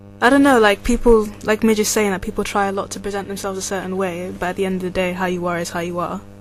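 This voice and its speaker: A woman's very fast speech with hardly any pauses and fairly even intonation, with music in the background. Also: medium pitch for a woman. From England, Nigerian heritage. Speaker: university student. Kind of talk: casual chat.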